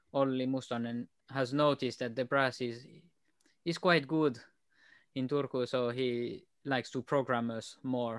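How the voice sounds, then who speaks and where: Against a quiet background, a man with a non-native accent speaks at a medium pitch and a fairly slow pace, with fairly even intonation and long, frequent pauses. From Switzerland. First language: not English. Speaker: tuba player. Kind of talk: casual chat. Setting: podcast.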